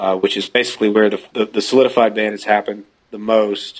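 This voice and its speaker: A fairly low-pitched man with a Georgia accent. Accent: US Southern (Georgia). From Georgia, US South. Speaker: singer-songwriter. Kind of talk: phone interview.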